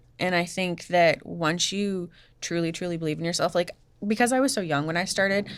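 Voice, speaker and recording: Recorded very cleanly against a silent background, a woman with an ordinary speaking voice talks at a moderate pace and a medium pitch. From US Northeast, Massachusetts. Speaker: fashion designer. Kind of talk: interview.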